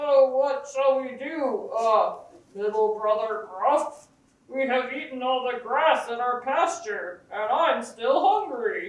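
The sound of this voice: A high-pitched, put-on character voice at a fairly slow pace, with a slight echo.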